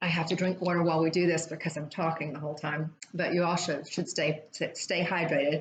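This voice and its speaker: A plain, everyday voice from a woman, fairly low in pitch, fairly quick and fairly even in intonation. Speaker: fitness instructor. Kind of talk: guided exercise class.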